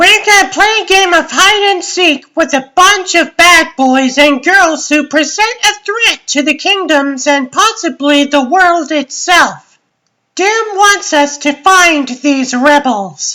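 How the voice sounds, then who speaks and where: A woman's put-on character voice, extremely high-pitched, with lively intonation, very even loudness and a fairly slow pace. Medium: fan dub. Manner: theatrical, bossy.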